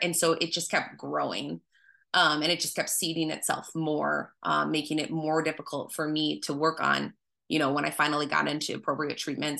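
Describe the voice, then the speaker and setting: Against a quiet background, a woman with a very deep, low pitch speaks at a fairly quick pace in a bright, sharp tone with vocal fry. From Wisconsin. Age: 30s. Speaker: nurse sharing mental health story. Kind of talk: personal testimony in interview. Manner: frequent hesitations (um).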